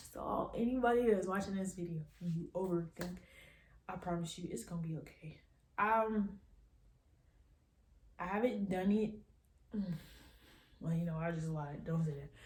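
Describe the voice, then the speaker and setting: A woman's somewhat breathy, medium-pitched voice, with long, frequent pauses and audible room echo. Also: ordinary pitch variation. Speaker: YouTuber. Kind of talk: casual vlog monologue. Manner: fast.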